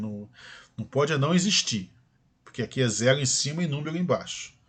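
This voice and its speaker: The speech moves at a fairly quick pace with lively intonation. The voice is somewhat breathy. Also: man. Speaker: math teacher. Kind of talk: lecture.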